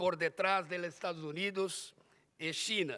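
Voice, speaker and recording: The man's voice sits high in pitch. His intonation is monotone and flat. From Brazil. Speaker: conference speaker on organized crime. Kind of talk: conference presentation. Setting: conference hall with audience. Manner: halting, with repetitions and fillers.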